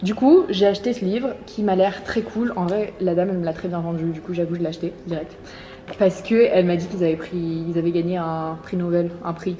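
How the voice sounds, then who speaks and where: Noticeable background noise accompanies a woman who speaks at a fairly quick pace. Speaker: lifestyle vlogger. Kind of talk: casual vlog talk to camera. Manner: fast.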